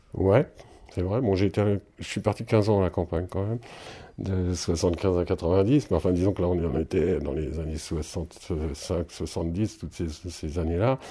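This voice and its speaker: In a very clean recording with a silent background, a man speaks very slowly with a very deep, low pitch, a dark, mellow, somewhat breathy tone, and ordinary pitch variation. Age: 60s. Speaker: musician and singer. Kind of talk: interview. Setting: at his home. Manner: halting.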